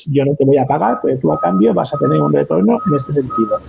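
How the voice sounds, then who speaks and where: This man talks at a fairly quick pace, his fairly high voice somewhat breathy, dark and mellow in tone, with very wide pitch swings. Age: 40s. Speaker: freelance copywriter and blogger. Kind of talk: interview.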